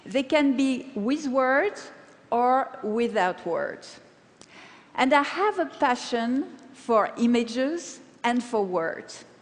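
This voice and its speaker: A woman with a French accent, high pitch, lively intonation and a very slow pace. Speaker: paper cutting artist. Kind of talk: conference talk.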